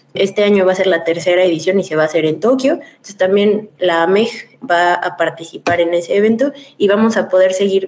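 A woman is speaking with a Mexican accent. Her voice sits at a medium pitch. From Mexico. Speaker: former scholarship holder, association member. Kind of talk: radio interview. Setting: remote connection.

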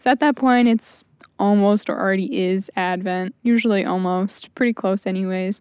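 A woman with an American accent, a plain, everyday voice at medium pitch, ordinary pitch variation and a moderate pace, in a dry, close sound with no echo against a quiet background. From Michigan (Saginaw). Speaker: student. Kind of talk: casual chat.

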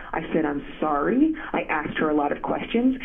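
Her pitch swings very widely at a moderate pace. Noticeable background noise and audible room echo surround the woman's voice. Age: 40s. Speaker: journalist and author. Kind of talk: interview. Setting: phone call.

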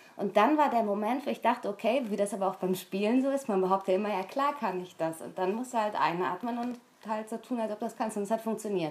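A woman with a fairly high pitch speaks at a fairly quick pace, using ordinary pitch variation. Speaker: voice actress and radio station voice. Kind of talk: casual chat.

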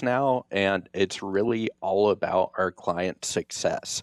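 The speaker talks at a very slow pace with fairly even intonation, and the sound is dry and close with no echo. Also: man. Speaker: financial advisor. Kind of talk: radio interview explaining financial topics.

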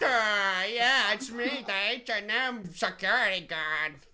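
Very slow speech in a put-on character voice, pitched fairly high. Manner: mocking.

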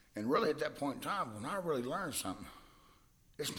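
A man speaks with a Texan accent. His intonation is lively. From Texas, Hillsboro. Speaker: musician. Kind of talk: casual interview. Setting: studio.

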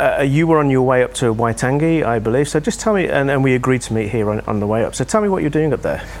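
A man's fairly high-pitched voice at a very fast pace, with lively intonation and noticeable background noise. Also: very even loudness. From English Midlands, Birmingham. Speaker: podcast host. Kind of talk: casual interview.

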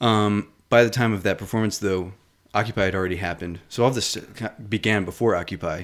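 A man speaks at a fairly quick pace with fairly low pitch and fairly even intonation. The recording is very clean, with a silent background. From US, Pennsylvania. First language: not English. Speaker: writer and performer. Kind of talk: casual interview.

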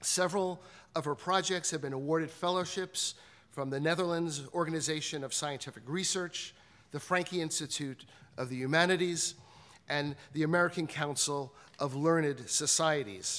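Pitch varies in a normal way at a medium speed. It is a plain, everyday voice. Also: man, fairly high pitch for a man. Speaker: institute director. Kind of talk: formal introduction. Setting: stage with audience.

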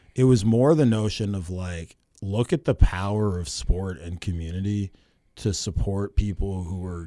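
A man talks at a fairly slow pace in a very deep, low pitch with a dark, mellow tone and ordinary pitch variation. The recording is very clean, with a silent background. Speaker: high school football coach. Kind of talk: casual interview. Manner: loud.

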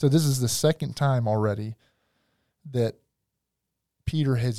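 A man's voice with a dark, mellow tone at a medium pitch. The recording is very clean, with a silent background. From US South. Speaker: pastor. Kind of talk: casual chat.

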